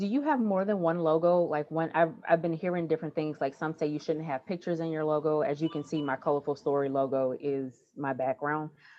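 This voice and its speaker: Over music in the background, a woman with an American accent speaks at a fairly quick pace with hardly any pauses, her very deep, low voice showing ordinary pitch variation. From New Orleans, US South. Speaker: former teacher, history content creator. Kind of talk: casual Q&A in online workshop.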